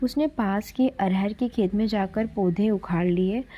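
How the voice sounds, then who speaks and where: A woman speaks at a medium pitch with a dark, mellow tone. She is somewhat breathy, and her pitch varies in an ordinary way. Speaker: storyteller. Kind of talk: literary short story reading.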